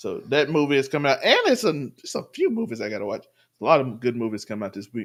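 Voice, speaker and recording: A man's medium-pitched voice at a very fast pace, with lively intonation. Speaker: podcast co-host. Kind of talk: casual chat.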